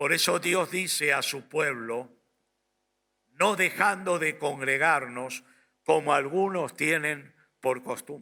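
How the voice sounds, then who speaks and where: Speaking at a very slow pace with long, frequent pauses, a man with a fairly high pitch has a bright, sharp tone and ordinary pitch variation. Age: 60s. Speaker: pastor. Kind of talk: sermon.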